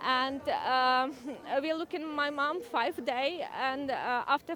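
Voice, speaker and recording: A very slow voice in a Ukrainian accent with ordinary pitch variation. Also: woman. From Ukraine. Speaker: Ukrainian refugee at a rally. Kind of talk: interview testimony. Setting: outdoor rally. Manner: halting.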